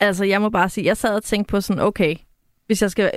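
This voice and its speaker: In a very clean recording with a silent background, an ordinary speaking voice talks at a fairly quick pace. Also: woman. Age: 30s. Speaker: cultural analyst, podcast co-host. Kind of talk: casual chat.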